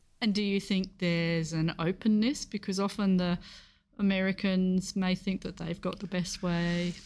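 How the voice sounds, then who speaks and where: In a medium pitch and a monotone, flat intonation, a woman speaks on a very clean recording with a silent background. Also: moderate pace. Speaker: podcast host. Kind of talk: scripted narration with interview links.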